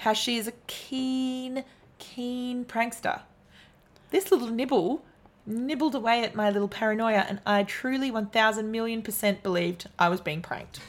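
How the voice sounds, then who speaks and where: A woman's fairly high voice at a moderate pace, with ordinary pitch variation and a normal speaking voice, on a very clean recording over a silent background. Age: 30s. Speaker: podcast co-host. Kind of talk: casual chat.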